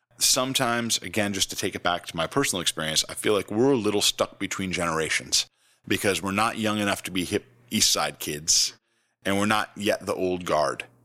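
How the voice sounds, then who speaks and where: An American-accented man's plain, everyday voice, fairly low in pitch with ordinary pitch variation, at a fairly quick pace in a dry, close sound with no echo and a very clean recording with a silent background. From upstate New York. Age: 40s. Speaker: professional musician. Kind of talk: casual interview.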